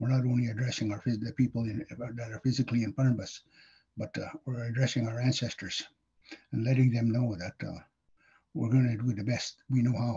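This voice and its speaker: A dark, mellow, somewhat breathy voice moves at a fairly quick pace in a monotone, flat intonation. Long, frequent pauses break it up against a quiet background. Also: man, medium pitch for a man. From northern Manitoba, Cree First Nation. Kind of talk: educational talk. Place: home room. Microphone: webcam.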